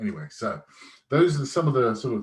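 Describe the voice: There is ordinary pitch variation in this man's slightly mellow tone.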